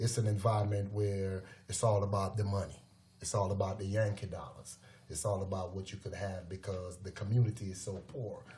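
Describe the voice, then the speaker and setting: Audible room echo surrounds a man whose voice is fairly low in pitch, with a dark, mellow tone. He sounds somewhat breathy, and his intonation is monotone and flat. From Jamaica, Kingston. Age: 50s. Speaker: former prisoner, youth mentor. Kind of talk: podcast interview.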